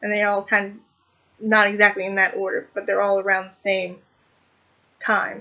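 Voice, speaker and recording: A woman of medium pitch talks at a moderate pace in a monotone, flat intonation, with long, frequent pauses and big swings in loudness. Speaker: book vlogger. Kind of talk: casual book review vlog. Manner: hesitant with fillers.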